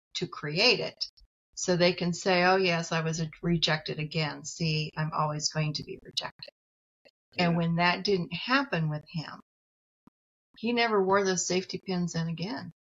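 A woman with an American accent has a plain, everyday voice, fairly low in pitch with ordinary pitch variation at a moderate pace. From US Midwest, rural farm community. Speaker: psychologist and professor. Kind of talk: interview conversation.

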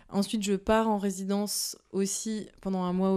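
Flat and monotone, a woman talks on a very clean recording with a silent background. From northern France, Picardy (Soissons). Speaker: visual artist. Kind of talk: interview. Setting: artist's studio. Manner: halting.

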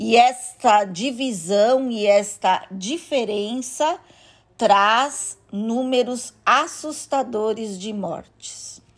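A woman's fairly high voice in a Brazilian accent at a very slow pace, with ordinary pitch variation, big swings in loudness and a very clean recording over a silent background. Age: 50s. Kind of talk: interview. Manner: halting.

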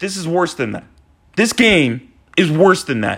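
With a bright, sharp tone, a man projects his voice in a raised manner. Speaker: hockey podcaster. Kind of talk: solo fan rant. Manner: agitated; heavy sighs.

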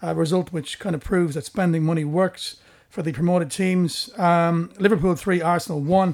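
Talking at a fairly quick pace, a man uses a high pitch. His intonation stays fairly even. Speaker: podcast host. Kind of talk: casual chat about football.

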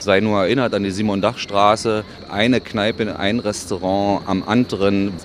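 Noticeable background noise fills the recording. Over it, a man speaks at a moderate speed. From Berlin (Köpenick). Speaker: Berlin local, city guide. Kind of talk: casual interview chat.

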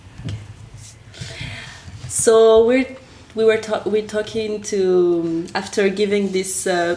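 Noticeable background noise sits behind a woman speaking with a French accent at a very slow pace. Her medium-pitched voice carries lively intonation. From France. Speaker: podcast host. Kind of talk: casual interview conversation.

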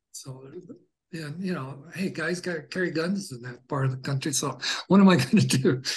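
A man with an unremarkable speaking voice and a fairly high pitch talks at a moderate pace, with ordinary pitch variation and big swings in loudness. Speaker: guest sharing personal experiences. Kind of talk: casual interview, personal storytelling.

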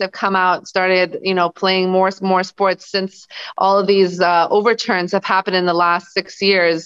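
This woman has an American accent and a medium pitch. Her intonation is monotone and flat. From Los Angeles, California, US. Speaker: basketball coach, former pro player. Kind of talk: interview.

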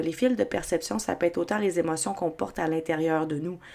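With a Quebec accent, a woman speaks in a fairly low voice. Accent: Québécois French. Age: 30s. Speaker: podcast host. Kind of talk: solo podcast monologue.

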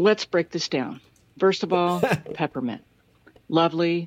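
A woman with an unremarkable speaking voice, a fairly low pitch and ordinary pitch variation, at a fairly slow pace, in a dry, close sound with no echo and a quiet background. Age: 40s. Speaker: listener leaving a voice message. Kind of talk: recorded voice message. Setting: recorded voice message played on the show.

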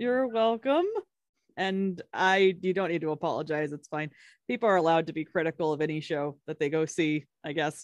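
An ordinary speaking voice with an American accent moves at a moderate pace with ordinary pitch variation, in a dry, close sound with no echo. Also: woman, fairly low pitch for a woman. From Kentucky, US. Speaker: podcast co-host. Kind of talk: casual chat.

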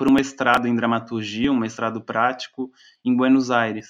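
Against a quiet background, a man talks at a medium pitch. His intonation stays fairly even. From Brazil, Florianópolis. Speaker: playwright and researcher. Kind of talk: interview conversation. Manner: halting, many fillers.

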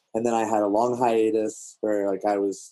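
A man with an American accent speaks at a fairly low pitch, his tone dark and mellow and his intonation monotone and flat. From DC/Virginia area (DMV), US East Coast. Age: 30s. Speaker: music producer. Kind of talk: casual chat.

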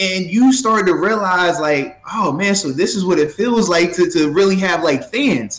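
A man speaks with music in the background. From Virginia, Portsmouth. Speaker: former pro football player. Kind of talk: casual chat.

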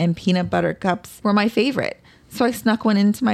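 An unforced reading voice, its pitch moving in an ordinary way

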